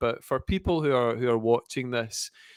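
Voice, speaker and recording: A man with a Scottish accent speaks at a moderate pace, with a medium pitch and ordinary pitch variation. The recording is very clean, dry and close, with a silent background and no echo. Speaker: podcast host. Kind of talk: interview.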